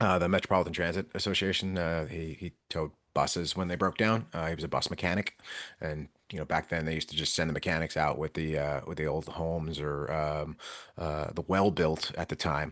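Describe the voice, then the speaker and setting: Against a quiet background, a man with an American accent speaks at a fairly quick pace in a very deep, low pitch with fairly even intonation. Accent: New York accent, mostly hidden. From New York. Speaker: podcast co-host, towing industry veteran. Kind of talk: casual podcast conversation.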